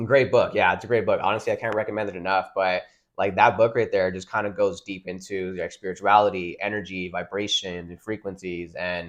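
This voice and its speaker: A man with a Californian accent talks at a fairly quick pace and a fairly low pitch, with hardly any pauses. His intonation is monotone and flat, his loudness swings widely, and the background is quiet. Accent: Californian American English. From Southern California (Ontario). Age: 20s. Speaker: water filter entrepreneur. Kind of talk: podcast interview. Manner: halting, many fillers.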